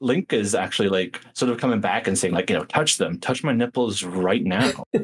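Someone reads text aloud using a natural voice.

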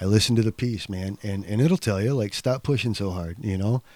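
A man speaks at a fairly quick pace in a fairly low pitch with ordinary pitch variation, an unremarkable speaking voice. The recording is very clean with a silent background, dry and close with no echo. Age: 40s. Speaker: abstract painter. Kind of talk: casual chat.

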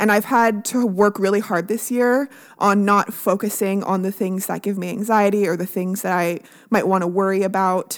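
Fairly even in intonation, a woman talks at a moderate pace. She has a plain, everyday voice at medium pitch. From Canada. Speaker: podcast co-host, nurse. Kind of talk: casual chat. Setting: video call.

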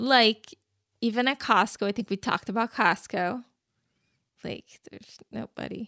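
A woman's fairly high, bright and sharp voice with vocal fry and ordinary pitch variation, long, frequent pauses, and a dry, close sound with no echo on a very clean recording with a silent background. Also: moderate pace, big swings in loudness. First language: Portuguese. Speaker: podcast co-host. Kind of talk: casual chat.

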